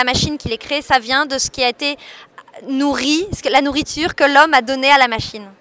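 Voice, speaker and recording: With a raised, projected voice and a high pitch, a woman speaks at a moderate pace in a dry, close sound with no echo. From France, Paris. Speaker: art curator. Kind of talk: radio interview.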